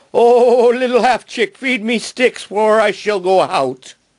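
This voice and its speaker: A man uses a put-on character voice with an extremely high pitch, talking at a fairly slow pace. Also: quiet background. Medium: read story. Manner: pleading.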